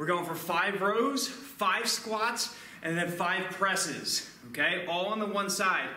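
Speaking very slowly in a raised, projected voice, a man with a high pitch and an American accent is heard with audible room echo. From Philadelphia, US. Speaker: kettlebell fitness instructor. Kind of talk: live follow-along workout coaching with timed countdown cues. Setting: gym or home studio, on camera. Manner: energetic hype-style motivator, punchy commands; casual, chatty asides between sets. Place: gym.

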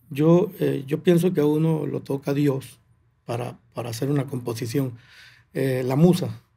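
A man with a dark, mellow tone speaks at a fairly slow pace and fairly high pitch, somewhat breathy, with ordinary pitch variation. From Venezuelan llanos, Barinas; Venezuela. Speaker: llanera music composer and singer; guest. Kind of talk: interview. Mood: calm, reflective. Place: studio. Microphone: studio mic.

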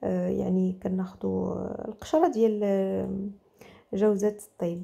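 A woman with a Moroccan accent speaks in a medium pitch with a dark, mellow tone. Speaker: cooking channel host. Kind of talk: cooking tutorial.

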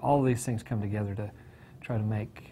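A man speaks very fast in a flat monotone, his dark, mellow voice somewhat breathy. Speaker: weather forecaster. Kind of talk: newsreading, weather forecast. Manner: brisk, polished, professional broadcast delivery.

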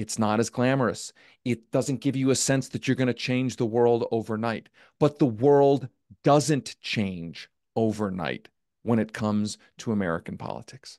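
Against a quiet background, a man talks in an animated tone at a moderate pace with ordinary pitch variation, the sound dry with no echo. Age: 40s. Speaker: political journalist and former campaign staffer; political journalist. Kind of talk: live virtual event discussion. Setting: video call. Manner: long-winded. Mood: frustrated, candid. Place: home room. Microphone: studio mic.

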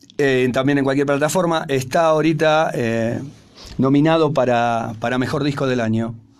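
With an ordinary speaking voice, a man of fairly high pitch speaks at a moderate pace and with fairly even intonation. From Argentina. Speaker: rock musician. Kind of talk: radio interview. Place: studio. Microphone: studio mic.

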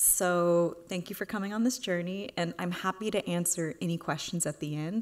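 An ordinary speaking voice comes with an American accent. The pace is moderate and the pitch variation ordinary. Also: woman. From Houston, Texas. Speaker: artist. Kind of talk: lecture; Q&A answer. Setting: stage with audience. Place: hall.

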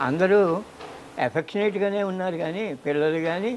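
A man speaks with a high pitch. Light background noise is present. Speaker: retired headmaster. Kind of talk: interview answer. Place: garden. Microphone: lapel.

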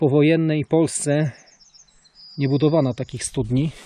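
A man talks with fairly even intonation. The sound is dry, with no echo. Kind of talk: casual vlog commentary. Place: open country. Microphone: phone near.

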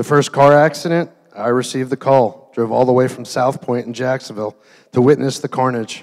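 A man speaks with fairly even intonation against a quiet background. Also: fairly quick pace. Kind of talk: wedding toast speech. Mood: warm, sentimental. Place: hall. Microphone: handheld.

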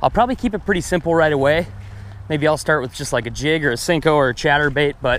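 Speaking at a very fast pace, a man comes through with noticeable background noise and a dry sound with no echo. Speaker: fishing vlogger. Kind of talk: casual vlog chat. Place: waterside.

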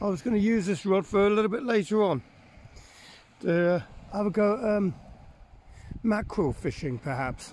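This man's voice sits high in pitch, with ordinary pitch variation at a moderate pace. The sound is dry with no echo, over light background noise. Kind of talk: casual vlog chat. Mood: cheerful, amused. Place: beach. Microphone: phone near.

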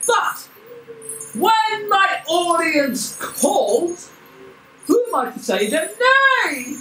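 A cartoonish character voice at an extremely high pitch makes very wide pitch swings. It moves at a very slow pace with long, frequent pauses. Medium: puppet.

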